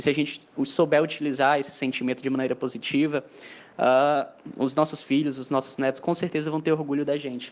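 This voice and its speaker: This man talks at a fairly quick pace with a fairly high pitch and a monotone, flat delivery. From Mossoró, Rio Grande do Norte, Brazil. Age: 20s. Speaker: engineering student, young political activist. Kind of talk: casual discussion. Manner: halting, many repetitions and fillers.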